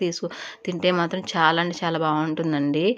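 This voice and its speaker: This woman has a fairly low pitch. Her intonation is monotone and flat. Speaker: cooking vlogger. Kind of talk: tutorial.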